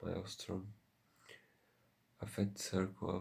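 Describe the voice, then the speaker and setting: Soft-spoken and somewhat breathy, a man with a fairly low pitch talks in a monotone, flat intonation. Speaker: ASMR content creator. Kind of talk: ASMR soft-spoken story reading.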